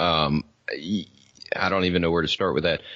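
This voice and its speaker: A man's very deep, low voice with a Southern US accent. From US South. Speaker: podcaster. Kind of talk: casual chat. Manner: slurred; halting.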